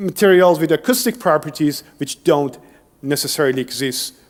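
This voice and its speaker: Fairly quick and fairly high-pitched, a man speaks with lively intonation. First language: Persian. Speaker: engineering researcher. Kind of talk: lecture.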